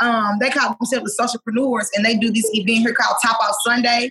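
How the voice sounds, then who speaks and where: A woman speaks loudly in a monotone, flat intonation. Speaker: singer. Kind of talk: casual chat.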